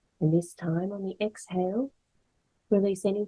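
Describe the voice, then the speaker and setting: A woman's somewhat breathy voice carries fairly even intonation in a dry, close sound with no echo. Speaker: yoga nidra instructor. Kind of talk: guided meditation. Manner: slow, calm.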